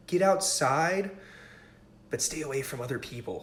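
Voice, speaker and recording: A man speaks at a moderate pace in an upbeat tone, his voice somewhat breathy and his pitch varying in an ordinary way. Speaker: stretching coach. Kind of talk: live fitness tutorial. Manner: casual, upbeat.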